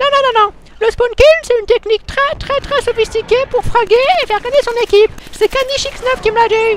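A put-on character voice at an extremely high pitch comes through over light background noise. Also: fairly quick pace. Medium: solo performance. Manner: brash, insulting.

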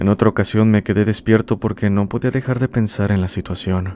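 A man speaks at a fairly quick pace in a fairly low voice. His tone is dark and mellow. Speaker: horror story narrator. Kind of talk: ghost story telling, spooky first-person narration of listener tales. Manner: measured, eerie, ominous pacing.

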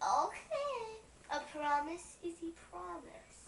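An extremely high, squeaky put-on character voice moves at a very slow pace, with slight echo and clear background noise. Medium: stage play.

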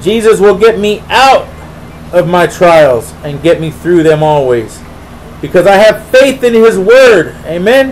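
Over light background noise, a man with a high pitch and lively intonation talks at a fairly slow pace. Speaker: preacher. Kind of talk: Bible study teaching with prayer, sermon-style. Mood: earnest, devotional. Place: home room. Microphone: webcam.

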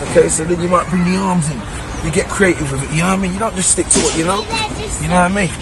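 Crowd noise fills the background while a man speaks in a dry sound with no echo. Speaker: fitness trainer. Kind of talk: tutorial. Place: street.

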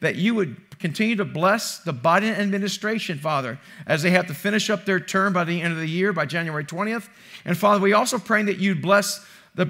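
Against a quiet background, a raised, projected voice with a bright, sharp tone moves at a fairly quick pace with ordinary pitch variation. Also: man. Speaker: pastor. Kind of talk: sermon. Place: church. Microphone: headset.

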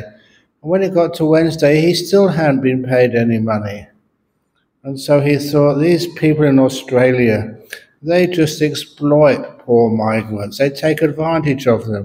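Over light background noise, a man speaks at a fairly slow pace in a dark, mellow tone with ordinary pitch variation. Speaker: monk teacher. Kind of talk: dharma talk storytelling. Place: hall. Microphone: handheld.

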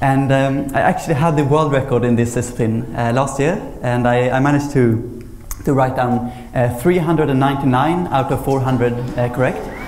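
In a Swedish accent, a man talks at a fairly slow pace with fairly even intonation and very even loudness. Light background noise and audible room echo are present. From Sweden. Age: 20s. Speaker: memory champion; speaker. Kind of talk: lecture. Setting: stage with audience. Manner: halting. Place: hall. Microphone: lapel.

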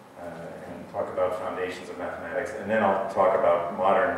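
Strong room echo surrounds a man speaking at a fairly quick pace. Light background noise can be heard. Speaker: mathematics professor. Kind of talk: lecture. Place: hall.

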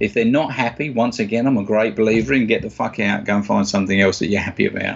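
Here a man with a fairly low pitch speaks at a very fast pace with ordinary pitch variation. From South East London, England. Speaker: stage and clinical hypnotist. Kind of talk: interview answer. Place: office. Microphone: webcam.

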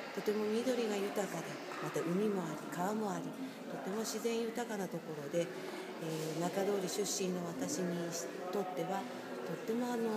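A woman's voice with ordinary pitch variation amid loud background noise. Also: moderate pace. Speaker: hula dance instructor. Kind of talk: interview answer. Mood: calm, sincere. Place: hall. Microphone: phone near.

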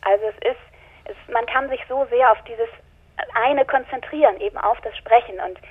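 A woman speaks at a moderate pace in a high pitch with ordinary pitch variation. Her loudness swings widely, and she takes long, frequent pauses. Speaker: audiobook narrator and actress. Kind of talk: interview answer. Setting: phone line.

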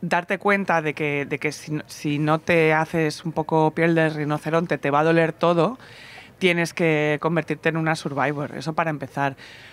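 Very deep and low, a woman's voice moves at a fairly slow pace in a flat monotone, with a dry sound and no echo. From Barcelona, Spain; Spain. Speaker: podcast host and festival presenter; podcast host interviewed. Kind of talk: casual interview chat. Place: garden. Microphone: handheld.

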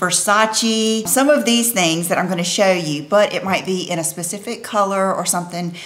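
A woman at a moderate pace, pitch varying in an ordinary way. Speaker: fashion vlogger. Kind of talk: casual vlog chat. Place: home room.

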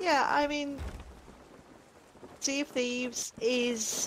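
A British accent over noticeable background noise. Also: woman. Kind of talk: casual chat. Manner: articulate, narrator-like.

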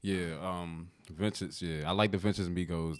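A man is speaking. His intonation is flat and monotone. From US Mid-Atlantic (DMV). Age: 20s. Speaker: rapper; guest. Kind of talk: casual chat. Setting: studio. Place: studio. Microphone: studio mic.

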